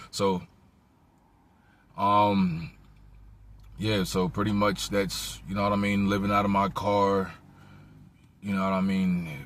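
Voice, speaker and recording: With fairly even intonation and a fairly low pitch, a man speaks at a very slow pace, leaving long, frequent pauses. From South Jersey, Cumberland County. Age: 20s. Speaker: homeless vlogger. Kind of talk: casual vlog monologue. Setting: in a car. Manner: halting, repetitive fillers.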